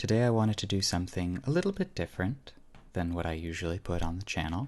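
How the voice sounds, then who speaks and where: Against a quiet background, a soft-spoken man talks at a fairly quick pace in a very deep, low pitch, with ordinary pitch variation and a relaxed tone. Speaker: ASMR creator. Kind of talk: ASMR cleaning session, casual talk to camera. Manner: soft-spoken, relaxed.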